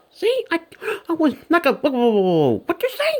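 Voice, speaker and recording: A squeaky, put-on character voice from a woman at an extremely high pitch and a moderate pace. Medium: fan dub. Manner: brash, exclaiming.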